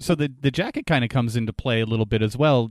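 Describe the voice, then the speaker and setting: A man with a normal speaking voice talks at a fairly quick pace, at medium pitch and with ordinary pitch variation. The sound is dry and close, with no echo. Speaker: podcast co-host. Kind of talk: casual discussion of a true crime case. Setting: video call, remote.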